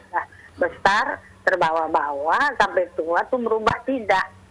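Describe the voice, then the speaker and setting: Over noticeable background noise, a woman talks at a medium pitch, varying it in an ordinary way. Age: 60s. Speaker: caller, housewife. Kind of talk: phone-in question.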